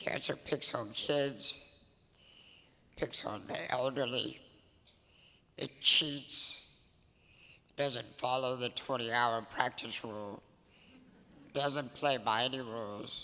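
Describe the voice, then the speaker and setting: Speaking at a very slow pace with long, frequent pauses, a man uses a bright, sharp tone, a medium pitch and fairly even intonation. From Louisiana (Cajun). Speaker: softball coach. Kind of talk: award acceptance speech.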